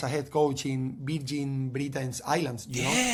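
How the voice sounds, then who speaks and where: A man with a Spanish accent talks at a moderate pace against noticeable background noise. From Spain, Cadiz. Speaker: football coach. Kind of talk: podcast interview. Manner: halting.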